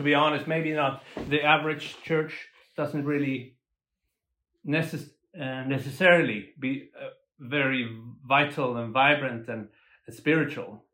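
A man speaks at a fairly high pitch with a bright, sharp tone. His intonation is fairly even, broken by long, frequent pauses. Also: fairly slow pace. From Sweden. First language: Swedish. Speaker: musician and lay minister. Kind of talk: casual interview conversation. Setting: on location in a South African township. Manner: halting, with repetitions.

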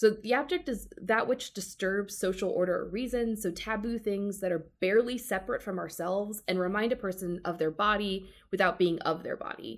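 A woman with a plain, everyday voice speaks at a medium pitch and fairly quick pace, with ordinary pitch variation and hardly any pauses. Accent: American. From US South, Georgia. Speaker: law librarian, romance writer. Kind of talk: casual book discussion.

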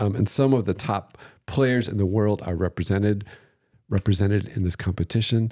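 In a very clean recording with a silent background, a man with a fairly low pitch and a dark, mellow tone uses a playful tone at a moderate pace with fairly even intonation. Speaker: podcast host and museum co-director. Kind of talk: casual chat, joking banter. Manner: joking, playful.

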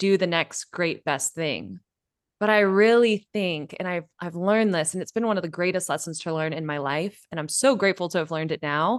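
A woman with a West Coast accent speaks at a fairly quick pace in a fairly low voice. Her pitch varies in an ordinary way, and the sound is dry and close with no echo against a quiet background. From California, Bay Area. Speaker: podcast host. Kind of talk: casual interview.

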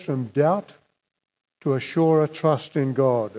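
A man's dark, mellow tone. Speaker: preacher. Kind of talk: sermon.

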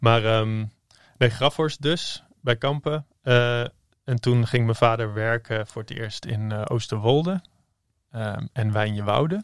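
Speaking at a very slow pace, a man with a medium pitch shows ordinary pitch variation in a very clean recording with a silent background. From Netherlands, various towns, pastor's son. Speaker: entrepreneur, former copywriter. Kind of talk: interview. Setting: studio.

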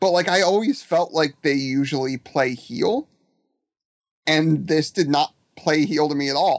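This man has an unremarkable speaking voice, a fairly high pitch with ordinary variation, and a fairly slow pace, recorded dry and close with no echo. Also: very even loudness. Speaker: wrestling fan guest. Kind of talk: casual chat.

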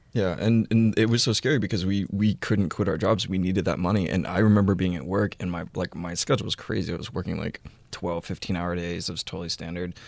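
A man with a very deep, low voice talks at a very fast pace in an American accent, with ordinary pitch variation. He leaves hardly any pauses, and the recording is very clean with a silent background. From Houston, Texas. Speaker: cookbook author and food photographer. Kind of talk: casual chat.

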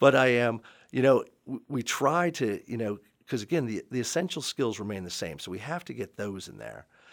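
A man with an American accent at a medium pitch, with vocal fry, lively intonation, big swings in loudness and a moderate pace, on a very clean recording with a silent background. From Maryland, Montgomery County. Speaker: high school lacrosse coach and history teacher. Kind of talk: podcast interview.

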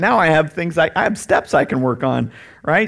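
A man speaks loudly. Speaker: pastor. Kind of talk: sermon. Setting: church. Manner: loud and boisterous.

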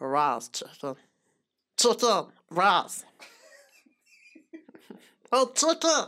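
A cartoonish character voice sits at a fairly high pitch. Its pitch swings very widely. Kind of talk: exaggerated cartoon voice. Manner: goofy, playful.

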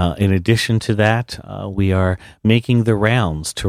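A man's fairly low voice at a fairly slow pace, with a dry, close sound free of echo and a very clean recording over a silent background. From South Jersey, US. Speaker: university president. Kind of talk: radio interview.

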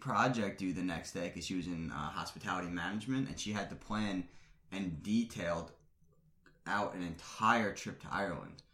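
A man's normal speaking voice, fairly low in pitch. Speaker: guest, engaged man. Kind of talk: casual interview.

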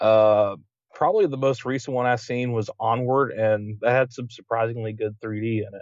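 With an American accent, a man with an unremarkable speaking voice talks at a moderate pace in a medium pitch, keeping his intonation fairly even. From West Virginia, Huntington. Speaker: podcast co-host, film fan. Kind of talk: casual chat.

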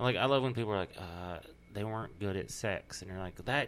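With a Texas accent, a man speaks in a fairly low pitch and ordinary pitch variation. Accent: Southern US, Texas. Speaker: comedian. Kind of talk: casual chat.

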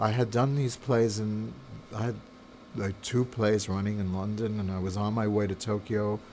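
A man with an American accent speaks at a fairly slow pace in a normal speaking voice, his fairly low pitch carrying fairly even intonation. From New York. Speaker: theater and film director. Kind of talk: interview. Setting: editing suite.

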